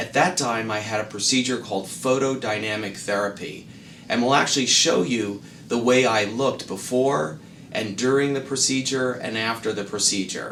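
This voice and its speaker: Amid noticeable background noise and audible room echo, a man with an American accent speaks at a moderate pace in a medium pitch with ordinary pitch variation. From US South, Miami Beach, Florida. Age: 60s. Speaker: dermatologist. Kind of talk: explainer to camera. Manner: formal.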